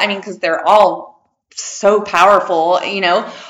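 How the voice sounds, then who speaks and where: A woman speaks at a fairly slow pace in an animated, excited tone. Room echo is audible around her voice. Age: 50s. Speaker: podcast host and holistic healer. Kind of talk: casual interview chat. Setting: in person, same room.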